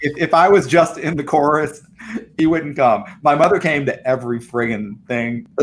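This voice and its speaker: A man with an American accent talks in an unremarkable speaking voice at a moderate pace. His pitch is fairly high, with ordinary variation. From US South. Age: 50s. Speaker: arts center director. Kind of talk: casual interview chat.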